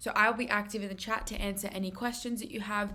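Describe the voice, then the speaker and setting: Her intonation fairly even, a woman speaks amid audible room echo. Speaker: maths tutor presenter. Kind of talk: lecture. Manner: fast.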